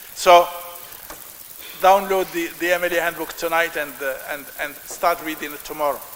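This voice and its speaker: Over noticeable background noise, a man with a high pitch speaks at a moderate pace in monotone, flat intonation, leaving long, frequent pauses. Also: big swings in loudness. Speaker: professor. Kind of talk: lecture. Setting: lecture hall with audience. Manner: loud; halting.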